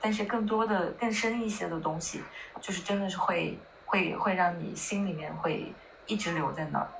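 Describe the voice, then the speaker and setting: Noticeable background noise is heard throughout. The woman talks at a medium pitch. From northern China. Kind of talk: casual chat.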